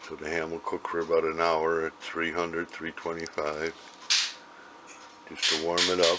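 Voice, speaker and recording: With long, frequent pauses and noticeable background noise, a man speaks at a moderate pace in a very deep, low pitch and a flat monotone. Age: 70s. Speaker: home cook. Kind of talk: casual cooking demonstration.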